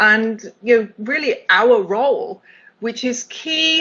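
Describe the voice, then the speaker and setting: A woman with a British accent talks at a fairly slow pace. Her pitch is fairly high and her intonation lively. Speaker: accessibility executive. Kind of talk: keynote talk.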